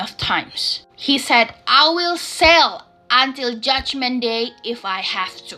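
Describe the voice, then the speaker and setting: A woman speaks with a high pitch and lively intonation. Music plays in the background. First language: not English, self-taught English. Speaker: storytelling vlogger. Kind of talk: casual storytelling.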